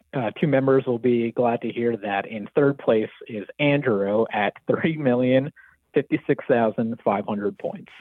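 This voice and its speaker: A man with an American accent and a plain, everyday voice speaks at a fairly slow pace, with medium pitch and ordinary pitch variation. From New Jersey. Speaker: caller. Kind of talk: casual chat. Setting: phone call.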